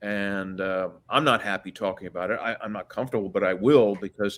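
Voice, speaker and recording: A man with an American accent talks at a moderate speed. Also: very clean recording, silent background. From Washington DC. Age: 60s. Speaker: guest on a disclosure and UFO podcast. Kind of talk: casual interview chat. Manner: halting, many fillers and restarts.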